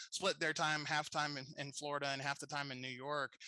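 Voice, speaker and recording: In a Southern accent, a man talks at a moderate pace with a fairly high pitch, a bright, sharp tone and monotone, flat intonation, in a dry, close sound with no echo. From US South, Tennessee. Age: 30s. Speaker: podcast host. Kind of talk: casual interview chat.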